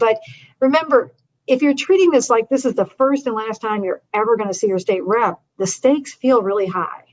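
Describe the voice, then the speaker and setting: With ordinary pitch variation, a woman speaks in an ordinary speaking voice. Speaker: advocacy educator. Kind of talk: training webinar.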